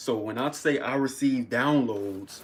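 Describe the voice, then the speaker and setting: A man speaks at a moderate pace. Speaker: vlogger. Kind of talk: casual livestream monologue.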